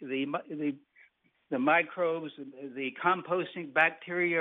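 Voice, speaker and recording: A plain, everyday voice from a man with an American accent, fairly high pitched, at a moderate pace with fairly even intonation. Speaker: tree nursery owner and arborist. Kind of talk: interview answering host questions.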